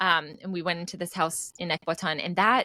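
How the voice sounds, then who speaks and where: Her tone bright and sharp, a woman with a Texan accent talks at a medium pitch and moderate pace, in a dry, close sound with no echo. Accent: American, Texan. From US, Dallas, Texas suburbs. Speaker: entrepreneur, language course founder. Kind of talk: podcast interview.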